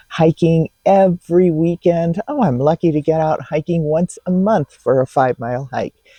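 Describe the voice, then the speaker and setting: Heard dry and close with no echo, a dark, mellow voice with an American accent moves at a moderate pace. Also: woman. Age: 60s. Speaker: dating advice vlogger. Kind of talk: advice vlog. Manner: casual, conversational.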